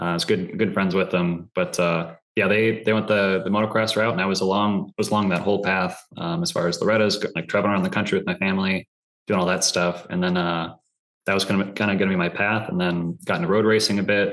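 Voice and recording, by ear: Delivered at a fast pace, the voice has a fairly bright tone and fairly even intonation. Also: man, low pitch for a man.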